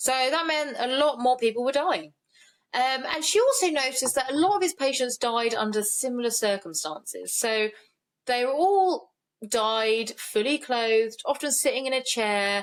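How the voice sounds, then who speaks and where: A woman speaks in a high pitch at a moderate pace. Her intonation is lively. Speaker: true crime podcast co-host. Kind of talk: casual chat.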